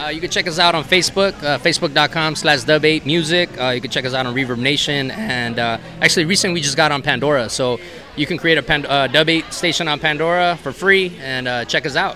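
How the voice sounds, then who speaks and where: Music plays in the background as a man with a fairly high pitch talks at a fairly quick pace, hardly any pauses, and ordinary pitch variation. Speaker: band keyboardist and singer. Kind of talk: interview. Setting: at a music festival.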